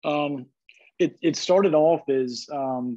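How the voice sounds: A man talks slowly in a fairly high voice with a dark, mellow tone. His pitch varies in an ordinary way.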